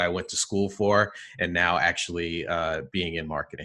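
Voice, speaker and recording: A man's very deep, low voice with a bright, sharp tone and a New Jersey accent, at a moderate pace against a quiet background. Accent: New Jersey American. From New Jersey, US. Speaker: marketing executive. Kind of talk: interview. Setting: video call.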